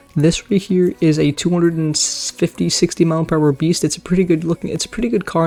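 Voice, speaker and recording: A quiet voice races along at a very fast pace over noticeable background noise. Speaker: Roblox gaming YouTuber. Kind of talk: casual gaming commentary.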